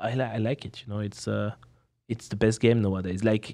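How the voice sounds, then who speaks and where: A man's fairly low, dark, mellow voice with a strong French accent, fairly quick pace and fairly even intonation, on a very clean recording with a silent background. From France. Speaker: professional poker player and streamer. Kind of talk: casual chat. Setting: podcast in Las Vegas.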